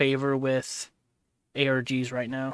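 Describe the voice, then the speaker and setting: A man with an American accent at a medium pitch, recorded with a dry, close sound and no echo. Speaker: livestreamer. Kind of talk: casual reaction stream. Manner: loud.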